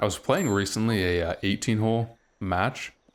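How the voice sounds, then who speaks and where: Pitch variation is ordinary. The man keeps to a moderate pace. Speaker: gaming YouTuber. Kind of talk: live gameplay commentary. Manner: fairly even, same tone whatever happens.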